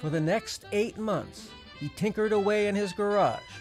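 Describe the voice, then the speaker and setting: Music plays behind a man speaking in a high pitch. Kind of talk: mock historical documentary narration.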